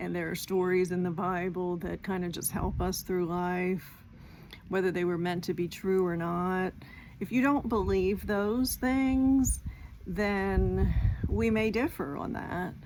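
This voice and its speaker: At a fairly slow pace, a woman of medium pitch speaks with ordinary pitch variation and audible room echo. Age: 60s. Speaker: retired vlogger. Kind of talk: casual talking-head vlog. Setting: outdoors at home, porch and yard. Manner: halting, with filler words.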